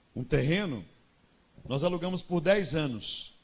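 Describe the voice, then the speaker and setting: A man is speaking. The room echo is audible. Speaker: pastor. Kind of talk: sermon.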